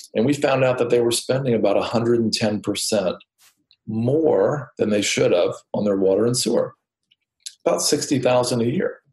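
This man's medium-pitched voice is somewhat breathy, with ordinary pitch variation. He talks at a fairly slow pace with very even loudness. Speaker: author and real estate investor.

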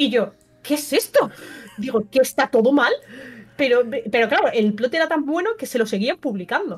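A woman with a high pitch and lively intonation, at a moderate pace with long, frequent pauses, over noticeable background noise. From Valencia, eastern Spain (Burjassot). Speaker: streamer and film guest. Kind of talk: casual chat.

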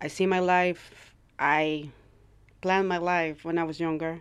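A woman with a Latin American accent, fairly low in pitch and monotone with flat intonation, on a very clean recording with a silent background. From Ecuador. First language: Spanish. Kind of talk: casual interview conversation. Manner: halting, searching for words.

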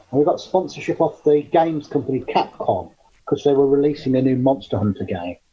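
Very fast, somewhat breathy speech from a man with an English accent, fairly high in pitch, with lively intonation. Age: 40s. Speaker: cryptozoologist. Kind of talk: interview.

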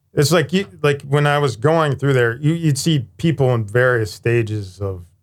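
In an American accent, a man with an ordinary speaking voice and a medium pitch talks at a fairly slow pace with lively intonation. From Youngstown, Ohio. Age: 50s. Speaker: firefighter paramedic. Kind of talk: interview.

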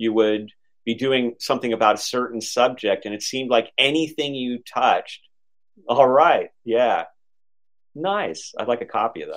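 A man talks at a moderate pace in a medium pitch with ordinary pitch variation. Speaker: author and esoteric historian. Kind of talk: interview conversation. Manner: articulate, practiced speaker.

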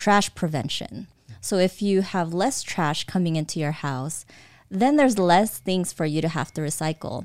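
This woman has an ordinary speaking voice, fairly low in pitch, with an American accent and lively intonation at a moderate pace. The recording is very clean, with a silent background. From Southern California, US (from age 6, born Philippines). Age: 40s. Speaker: real estate entrepreneur. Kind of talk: casual interview.

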